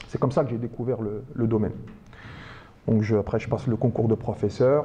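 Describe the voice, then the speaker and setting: Medium in pitch, a man speaks at a fairly quick pace. His tone is dark and mellow and somewhat breathy. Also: fairly even intonation. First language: Arabic (speaking French). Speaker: teacher and speed-reading trainer, author. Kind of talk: public talk to an audience.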